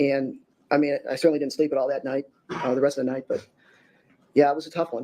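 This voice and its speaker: Very fast delivery in a monotone, flat intonation, broken by long, frequent pauses. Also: man, fairly high pitch for a man. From Wisconsin, US Midwest. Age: 60s. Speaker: victim's brother, witness. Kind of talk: court testimony. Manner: halting, many repetitions.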